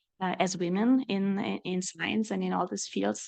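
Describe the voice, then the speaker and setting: Speaking at a moderate pace over a quiet background, a woman with a slight German accent uses a medium pitch and some vocal fry. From Germany. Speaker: research director, mathematician. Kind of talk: panel discussion. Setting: panel event with audience. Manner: hesitant, many fillers.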